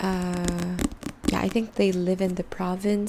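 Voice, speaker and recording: A woman speaks at a very slow pace in a dark, mellow, somewhat breathy tone. Her intonation stays monotone and flat. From Philippines. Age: 20s. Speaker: ASMR creator. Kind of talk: ASMR book ramble to camera.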